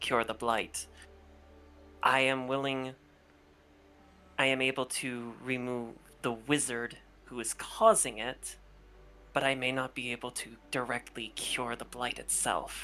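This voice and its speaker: A put-on character voice at a low-to-middle pitch, fairly slow, with long, frequent pauses. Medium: actual play. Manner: formal, courteous.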